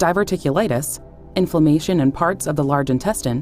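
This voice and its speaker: A woman's very deep, low voice at a fairly quick pace, lively in intonation, with music in the background. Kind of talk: pharmaceutical safety information read.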